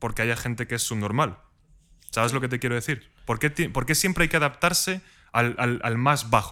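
This man's bright, sharp tone moves at a fairly quick pace with ordinary pitch variation, on a very clean recording with a silent background. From Spain, mountain village near Madrid. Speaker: podcast host. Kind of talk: casual chat.

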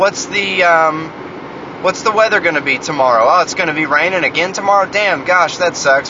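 A man with an American accent, fairly quick and lively in intonation, over noticeable background noise. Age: 20s. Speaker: podcast host. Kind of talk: solo monologue. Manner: rambling, repetitive.

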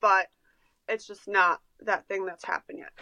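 A woman's voice with a bright, sharp tone comes through a dry, close sound with no echo against a quiet background. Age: 20s. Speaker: podcast co-host and farmer. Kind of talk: casual chat.

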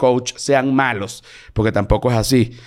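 A man with a Venezuelan accent is heard in a very clean recording with a silent background. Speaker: comedian. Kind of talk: casual chat.

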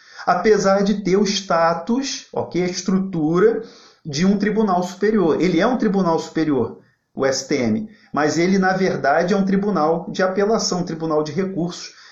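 A man talks at a moderate pace in a high voice with ordinary pitch variation. Audible room echo surrounds him. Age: 40s. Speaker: federal public defender. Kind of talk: live online talk. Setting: livestream. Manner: informal.

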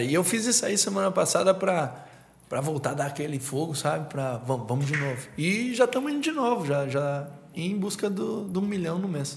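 In a room with audible echo, a man with a fairly high pitch speaks at a moderate pace with lively intonation. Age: 30s. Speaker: entrepreneur. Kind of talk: casual chat.

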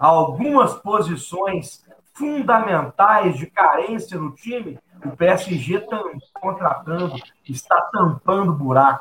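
A man's high voice at a very slow pace, with lively intonation and big swings in loudness. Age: 30s. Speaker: lawyer and football commentator. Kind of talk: sports debate show.

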